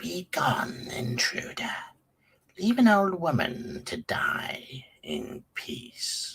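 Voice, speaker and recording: At a very slow pace, a man does a put-on character voice with a fairly high pitch and very wide pitch swings. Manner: weary, curt.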